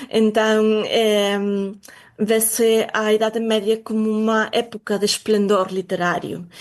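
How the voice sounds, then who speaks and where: In a Galician accent, a woman speaks very slowly with a fairly high pitch and monotone, flat intonation. Her loudness stays very even over a quiet background. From Galicia, Spain. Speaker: literature researcher. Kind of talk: interview.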